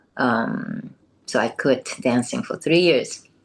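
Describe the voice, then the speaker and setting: With a Japanese accent, a woman speaks in a very deep, low pitch that swings very widely. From southern Japan, Kumamoto. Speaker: former professional dancer. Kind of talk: interview. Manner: halting, many fillers.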